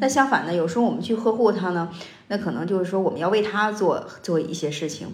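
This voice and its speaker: A woman's medium-pitched voice at a very fast pace, with ordinary pitch variation and noticeable background noise. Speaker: podcast host. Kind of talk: casual chat. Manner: halting, many filler sounds.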